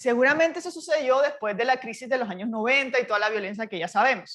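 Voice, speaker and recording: A woman's high voice with a Barranquilla accent, ordinary pitch movement and a fairly quick pace. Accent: Barranquilla (Colombian Caribbean). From Colombia, Barranquilla (Caribbean coast). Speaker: university professor. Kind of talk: lecture.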